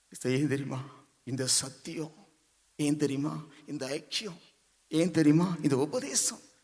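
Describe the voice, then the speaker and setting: In a room with audible echo, a man speaks with a fairly high pitch, a dark, mellow tone and ordinary pitch variation. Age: 60s. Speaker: church member giving testimony. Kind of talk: testimony. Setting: church convention.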